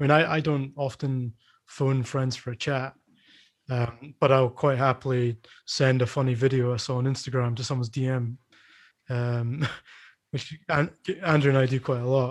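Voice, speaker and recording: A man with a Scottish accent, medium in pitch and monotone in his flat intonation, at a moderate pace with long, frequent pauses. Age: 30s. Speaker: podcast host and coffee shop owner. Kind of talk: casual chat.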